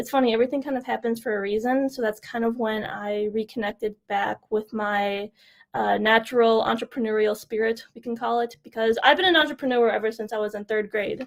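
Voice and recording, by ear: A woman speaks at a fairly quick pace with a fairly high pitch. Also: fairly even intonation.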